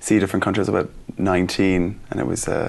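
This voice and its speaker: With an Irish accent, a man with a very deep, low pitch speaks at a fairly quick pace. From Ireland. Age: 30s. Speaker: school teacher. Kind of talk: interview.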